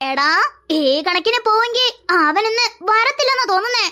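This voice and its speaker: An extremely high, cartoonish character voice moves along at a moderate pace. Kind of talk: cartoon dialogue, multiple character voices.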